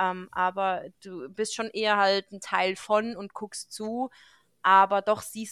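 In a dry, close sound with no echo, a woman uses a normal speaking voice at a medium pitch with fairly even intonation. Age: 30s. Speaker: veterinarian, podcast host. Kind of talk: casual chat.

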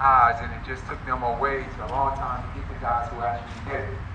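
Fairly quick speech in an American accent comes out monotone and flat. Audible room echo and noticeable background noise fill the recording. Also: man. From US South, North Carolina. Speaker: running coach and protest organizer. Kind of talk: speech at a rally.

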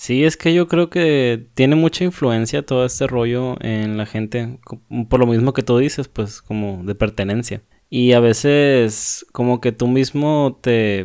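A man with a medium-pitched, unremarkable speaking voice talks at a fairly slow pace over a quiet background. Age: 20s. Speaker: podcast co-host. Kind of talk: casual chat. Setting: remote recording from separate homes.

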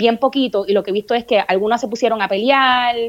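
A woman speaks in a Puerto Rican accent. Her pitch is fairly high, with ordinary variation. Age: 40s. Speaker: comedian and podcaster. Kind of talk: casual interview chat.

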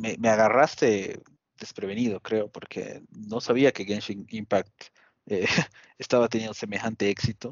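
At a fairly slow pace, a man talks with fairly even intonation and a medium pitch. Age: adult. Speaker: podcast co-host. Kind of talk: casual chat. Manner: halting.

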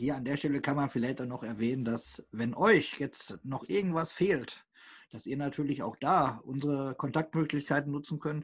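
Against a quiet background, a man with a somewhat breathy, fairly high voice speaks at a moderate pace. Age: 20s. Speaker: co-host, regional football youth committee PR volunteer. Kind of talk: casual podcast chat.

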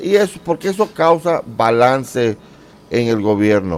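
A man speaks with very wide pitch swings. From Central America, mostly Honduras and Nicaragua. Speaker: YouTuber. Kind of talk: interview.

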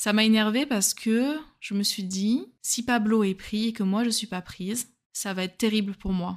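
A woman speaks at a fairly slow pace in a normal speaking voice, her pitch fairly high. Her intonation stays fairly even over a very clean recording with a silent background. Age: 20s. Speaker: solo dating podcaster. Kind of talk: personal storytelling narration.

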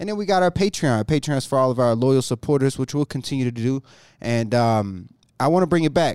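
In a normal speaking voice of medium pitch, a man talks at a fairly quick pace with lively intonation, the sound dry and close with no echo on a very clean recording with a silent background. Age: 30s. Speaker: podcast host, videographer and entrepreneur. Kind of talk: casual chat.

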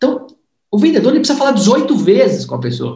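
A man speaks at a moderate pace with an extremely high pitch. Room echo is audible around him. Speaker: sales trainer and book author. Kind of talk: book launch livestream interview. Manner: animated.

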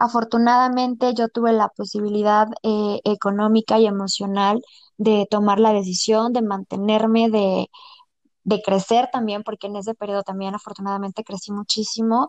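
A woman with a plain, everyday voice speaks at a moderate pace and fairly high pitch, with ordinary pitch variation and a dry, close sound with no echo. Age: 30s. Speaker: saleswoman. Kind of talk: personal testimony in casual interview.

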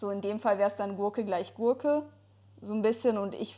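A woman talks at a moderate pace in a dark, mellow tone. Her intonation stays fairly even. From Ruhr area, Germany. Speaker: podcast co-host. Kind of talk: casual chat.

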